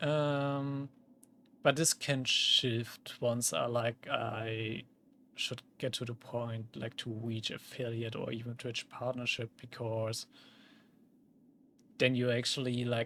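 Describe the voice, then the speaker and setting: A man with a German accent speaks at a very slow pace in a medium pitch, his intonation monotone and flat, with long, frequent pauses. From Germany. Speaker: vtuber streamer. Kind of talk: casual gaming livestream chat. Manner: many fillers, casual.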